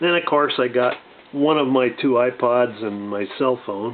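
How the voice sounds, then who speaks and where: At a fairly slow pace, a man talks with medium pitch and ordinary pitch variation. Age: 60s. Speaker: gun and gear video reviewer. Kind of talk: casual show-and-tell review. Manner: halting, many fillers.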